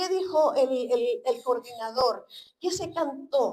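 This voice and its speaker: Speaking at a very slow pace, a woman uses a high pitch. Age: 70s. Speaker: preacher. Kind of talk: sermon. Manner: halting, many fillers and repetitions.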